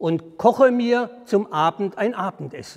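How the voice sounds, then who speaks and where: Against a quiet background, a man with a high pitch and a warm tone speaks at a very slow pace with lively intonation. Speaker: storyteller. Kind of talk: fairy tale storytelling. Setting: outdoors at a historic well. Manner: measured, formal storyteller's cadence, calm and deliberate; warm, inviting address to the audience. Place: church.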